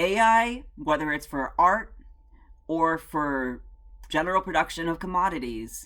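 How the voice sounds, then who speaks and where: A woman with a normal speaking voice talks at a fairly slow pace and a fairly low pitch. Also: lively intonation. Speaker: video essayist. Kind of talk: video essay commentary.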